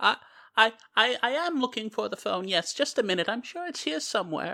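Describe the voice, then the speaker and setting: A female-sounding put-on character voice, fairly high-pitched, at a fairly quick pace, on a very clean recording with a silent background. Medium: actual play. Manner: doting, muddled, stammering.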